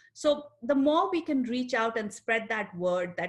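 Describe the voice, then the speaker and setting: A woman with an Indian accent talks at a moderate pace in a somewhat breathy voice. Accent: Indian accent, still noticeable. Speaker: psychologist. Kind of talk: panel discussion.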